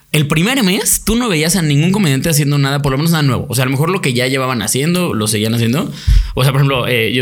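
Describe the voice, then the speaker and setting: Over music in the background and audible room echo, a man speaks very fast in a fairly high voice with lively intonation and very even loudness. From Mexico, Toluca. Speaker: comedian. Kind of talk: casual chat.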